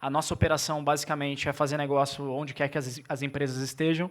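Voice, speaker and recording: A man talks at a very fast pace with a fairly high pitch and monotone, flat intonation. The recording is very clean, with a silent background. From Brazil, São Paulo state. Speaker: tech entrepreneur, former karate athlete. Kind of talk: conference talk. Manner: halting, with repetitions.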